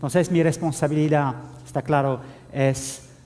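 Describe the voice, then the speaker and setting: Talking at a fairly slow pace, a man with a French accent is heard with audible room echo. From France. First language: French (speaking Spanish). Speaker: IT security officer. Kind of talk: conference talk. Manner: halting, many fillers.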